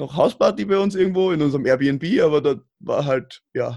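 A man speaks with lively intonation. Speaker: roundnet player. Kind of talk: casual chat. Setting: remote call. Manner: mumbling.

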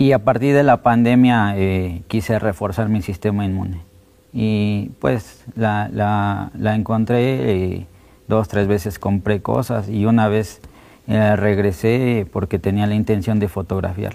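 A man talks at a very slow pace with a fairly low pitch and a dark, mellow tone. His pitch varies in an ordinary way on a very clean recording with a silent background. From Mexico City. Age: 30s. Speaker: documentary photographer. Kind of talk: interview.

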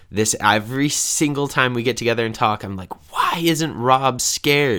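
A man speaks over noticeable background noise. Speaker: podcast co-host. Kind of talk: casual chat.

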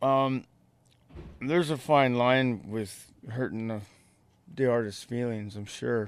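Very slow speech from a man with a Canadian accent, medium in pitch, with fairly even intonation and long, frequent pauses. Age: 50s. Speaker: airbrush artist and muralist. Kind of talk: casual interview. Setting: radio studio.

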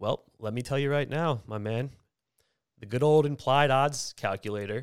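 A man with an American accent talks at a moderate pace with ordinary pitch variation. The recording is very clean, with a silent background and a dry, close sound with no echo. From Pennsylvania, Philadelphia area. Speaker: sports betting podcast host. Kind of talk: casual chat. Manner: animated.

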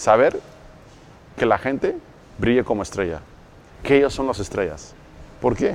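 Using vocal fry and lively intonation, a man at medium pitch with a Mexican accent talks at a moderate pace with long, frequent pauses. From Mexico City. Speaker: network marketing entrepreneur. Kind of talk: interview.

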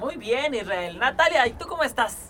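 Over noticeable background noise, a man talks at a fairly slow pace in a raised, projected voice with very wide pitch swings. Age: 30s. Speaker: podcast host and producer. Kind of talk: casual chat.

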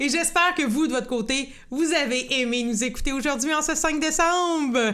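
A woman's high, bright, sharp voice in an animated tone, at a moderate pace, with audible room echo. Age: 30s. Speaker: podcast host. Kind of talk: casual chat.

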